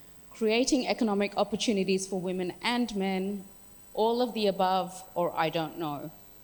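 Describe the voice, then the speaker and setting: A woman with an Australian accent, medium pitch, ordinary pitch variation and a moderate pace. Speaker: workshop facilitator. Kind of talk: workshop facilitation. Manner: animated.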